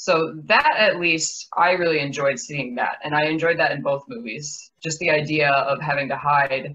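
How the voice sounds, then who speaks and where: Her pitch is very deep and low for a woman, with a bright, sharp tone. She talks at a fairly slow pace. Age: 20s. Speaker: filmmaker. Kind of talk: casual chat.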